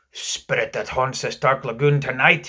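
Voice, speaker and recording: At a moderate pace, a man growls in a put-on character voice pitched fairly high. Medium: read story. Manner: theatrical, old-fashioned pirate speech.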